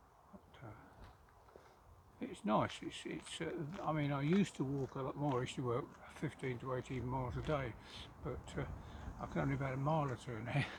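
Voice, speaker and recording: Pausing often and at length, a man speaks at a fairly quick pace in a fairly high, somewhat breathy voice with ordinary pitch variation. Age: 80s+. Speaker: local resident. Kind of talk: casual chat.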